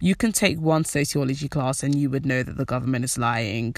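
Against a quiet background, a woman with a British accent speaks in an animated tone. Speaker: podcast host. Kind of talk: casual monologue.

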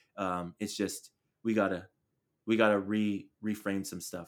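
With an American accent, a man speaks in a fairly low pitch and a monotone, flat intonation. The recording is very clean, the background silent. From Chula Vista, San Diego, California. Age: 30s. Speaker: podcast host. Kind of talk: casual chat.

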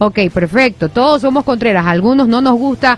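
Over noticeable background noise, a woman speaks at a moderate pace with a fairly high pitch and very wide pitch swings. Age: 30s. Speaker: radio host. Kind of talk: news reading; casual chat.

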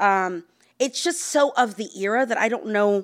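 This woman has an unremarkable speaking voice and a fairly high pitch. She speaks with an American accent and ordinary pitch variation. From Texas, Houston. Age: 40s. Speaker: novelist. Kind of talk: author talk with readings. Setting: bookstore event with audience.

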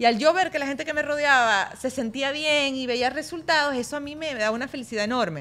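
A bright, sharp tone with ordinary pitch variation. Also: woman. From Venezuela (Maracaibo). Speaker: fitness coach. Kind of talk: casual chat. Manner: talkative.

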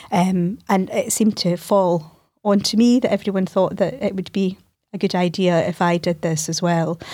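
With a Scottish accent, a woman speaks in a dark, mellow tone. Her pace is moderate and her pitch variation ordinary. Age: 40s. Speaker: lawyer and managing partner. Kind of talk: interview conversation.

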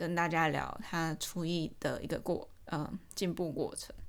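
Audible room echo surrounds a woman speaking with a fairly low pitch. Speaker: podcast host. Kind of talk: casual solo talk.

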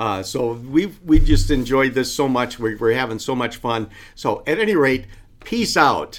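With lively intonation, a man talks fairly slowly at a medium pitch. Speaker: podcast co-host. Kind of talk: casual chat. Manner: animated.

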